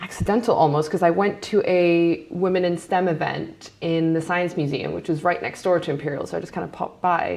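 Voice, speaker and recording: A woman with an American accent speaks at a medium pitch with ordinary pitch variation in an unremarkable speaking voice. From Hong Kong. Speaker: data scientist. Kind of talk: panel interview.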